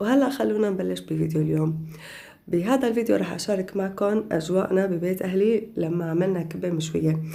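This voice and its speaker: Room echo surrounds a woman's voice. Her medium pitch shows ordinary variation. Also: moderate pace. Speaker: lifestyle vlogger. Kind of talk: voiceover vlog narration. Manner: casual.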